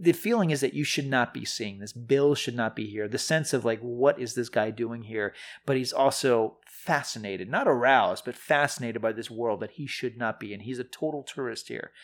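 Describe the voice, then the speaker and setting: A man with an ordinary speaking voice talks at medium pitch and a fairly quick pace, with hardly any pauses. His pitch variation is ordinary, and the recording is very clean with a silent background. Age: 40s. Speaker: film critic, podcast co-host. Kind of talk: casual chat.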